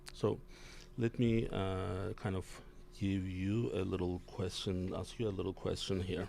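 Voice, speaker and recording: Fairly low in pitch, a man speaks with a dark, mellow tone. His pace is fairly slow. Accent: non-native. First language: not English. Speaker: physician and healthcare executive, show host. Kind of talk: interview discussion. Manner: halting, many fillers.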